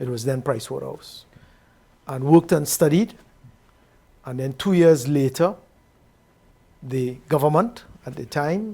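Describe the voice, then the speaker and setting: A man with a fairly high, somewhat breathy voice and a dark, mellow tone speaks at a fairly slow pace. His intonation is lively, broken by long, frequent pauses. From Trinidad and Tobago. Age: 70s. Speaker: retired bank executive. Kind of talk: interview.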